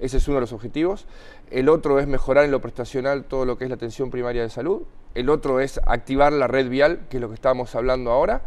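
Speaking at a very fast pace, a man keeps a medium pitch and fairly even intonation. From Argentina, Buenos Aires province. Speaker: mayor. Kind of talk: TV interview. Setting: studio. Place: studio. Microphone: lapel.

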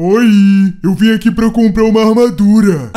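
A man uses a put-on character voice, pitched high and delivered at a moderate pace. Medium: machinima. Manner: calm, friendly, naive.

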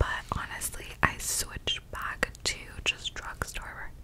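Very slowly, a woman whispers. There is noticeable background noise throughout. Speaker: ASMR creator. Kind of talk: ASMR whisper ramble. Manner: whispered.

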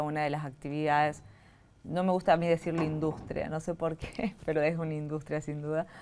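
A woman speaks in a very deep, low voice with monotone, flat intonation at a fairly quick pace. Light background noise is present. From Argentina, Catamarca; Argentina. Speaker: government tourism official; guest. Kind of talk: interview. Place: studio.

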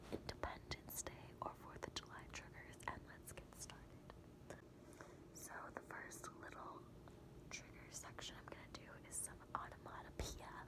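Breathy and soft-spoken, the voice moves at a fairly slow pace over loud background noise. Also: woman. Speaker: ASMR creator. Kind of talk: ASMR trigger talk. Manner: soft, close, breathy ASMR voice. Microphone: phone near.

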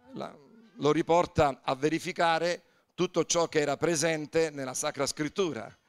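The speaker has an unremarkable speaking voice. Delivery is at a moderate pace with fairly even intonation. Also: man, fairly high pitch for a man. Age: 60s. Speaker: pastor. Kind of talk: sermon. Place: church. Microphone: handheld.

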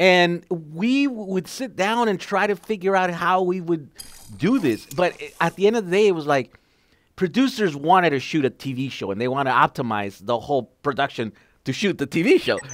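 A man speaks at a moderate pace in a high voice, his pitch swinging very widely. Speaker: podcast host, EV enthusiast. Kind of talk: casual interview chat. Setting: video call. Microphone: headset.

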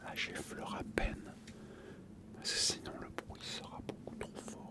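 Soft-spoken delivery at a fairly slow pace under loud background noise. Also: man. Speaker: ASMR creator. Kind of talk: soft ASMR chat. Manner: soft, hushed ASMR voice near mics. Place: home room. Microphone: studio mic.

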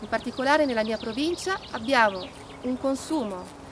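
Over noticeable background noise, a woman speaks at a high pitch with ordinary pitch variation. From Trentino, northern Italy. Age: 30s. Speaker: environmental activist. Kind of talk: appeal to support a protest march. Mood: serious, earnest. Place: open country.

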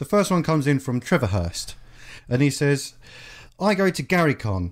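A man with a British accent and a fairly high pitch is heard on a very clean recording with a silent background. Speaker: podcast host. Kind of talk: casual chat.

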